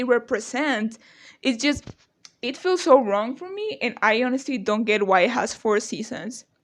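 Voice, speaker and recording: Against a quiet background, a woman with a non-native accent speaks at a moderate pace in a high pitch with ordinary pitch variation. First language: not English. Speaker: youtuber. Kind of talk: casual rant to camera. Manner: animated.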